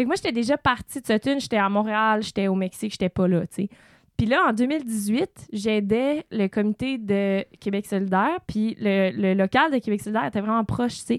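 A woman with an ordinary speaking voice talks at a moderate pace, fairly high in pitch with ordinary pitch variation and very even loudness. The sound is dry and close with no echo, on a very clean recording with a silent background. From Quebec, Eastern Townships (Sutton). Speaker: podcast host. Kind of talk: casual interview.

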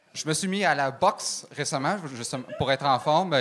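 A man talks at a fairly high pitch, varying it in an ordinary way, while music plays behind him. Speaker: comedian. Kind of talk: stand-up. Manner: fast one-liners.

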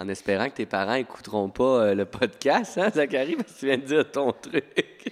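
At a moderate pace with hardly any pauses, a man speaks in a medium pitch with an animated tone and lively intonation, the sound dry and close with no echo. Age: 30s. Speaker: teacher. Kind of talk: casual chat.

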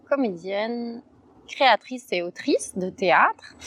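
The speech comes at a very slow pace with ordinary pitch variation. The sound is dry and close with no echo, though background noise is noticeable. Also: woman. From Brussels, Belgium. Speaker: actress and playwright. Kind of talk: casual chat. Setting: outdoors.

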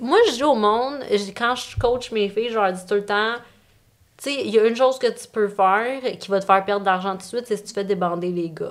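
In an ordinary speaking voice, a woman talks at a fairly quick pace with a fairly high pitch and ordinary pitch variation. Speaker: OnlyFans creator and coach. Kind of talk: casual chat.

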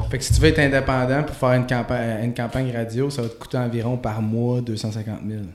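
A man's medium-pitched voice at a fairly quick pace, monotone and flat, with hardly any pauses, noticeable background noise and audible room echo. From Quebec, Gatineau. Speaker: rapper. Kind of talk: casual chat.

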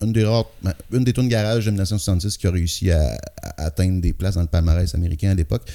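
A man with a Quebec accent talks at a very fast pace in a very deep, low pitch, with a dark, mellow tone, very even loudness and ordinary pitch variation. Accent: Québécois French. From Quebec City area. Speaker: rock singer and guitarist. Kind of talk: casual interview.

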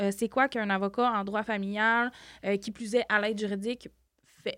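In a very clean recording with a silent background and a dry, close sound with no echo, a woman speaks fairly slowly in a fairly high pitch with a bright, sharp tone. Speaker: podcast host, community family worker. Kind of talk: interview.

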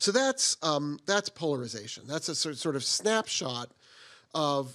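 A man with an American accent speaks in a plain, everyday voice, fairly high in pitch. He talks at a fairly slow pace against a quiet background. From US Northeast, Boston area. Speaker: political science professor. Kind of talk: lecture.

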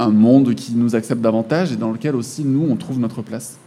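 Against noticeable background noise, a man with a medium pitch talks at a fairly quick pace. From France. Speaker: author and illustrator. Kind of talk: interview.

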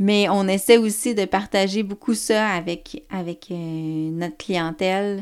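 A woman's mid-pitched voice, varying in pitch in an ordinary way, is captured on a very clean recording with total background silence. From Quebec, Côte-Nord. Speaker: organic farmer and farm organization president. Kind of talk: interview. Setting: at the farm. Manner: hesitant, many fillers.

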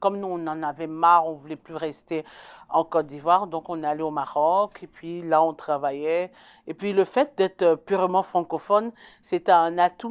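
Recorded very cleanly against a silent background, with a dry, close sound and no echo, a woman with an unremarkable speaking voice talks at a moderate pace in a fairly low pitch, her intonation fairly even but her loudness swinging widely. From Ivory Coast. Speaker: community volunteer. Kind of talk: interview testimony.

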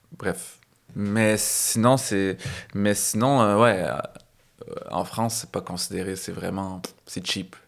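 A man talks very slowly at a fairly low pitch, leaving long, frequent pauses. His loudness swings a lot, while his pitch varies an ordinary amount. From Quebec (Laval, north shore of Montreal), some childhood years in Algeria. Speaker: stand-up comedian. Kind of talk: casual chat.

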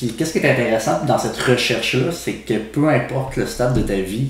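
Over noticeable background noise and audible room echo, a man speaks at a fairly quick pace and medium pitch with ordinary pitch variation. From Quebec City, Quebec. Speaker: podcast co-host. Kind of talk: casual chat.

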